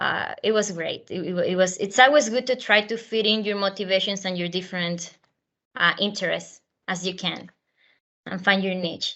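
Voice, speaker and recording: At a moderate pace, a woman of medium pitch speaks with a Spanish accent and fairly even intonation. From Venezuela. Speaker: university alum panelist. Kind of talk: panel talk. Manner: hesitant, many fillers.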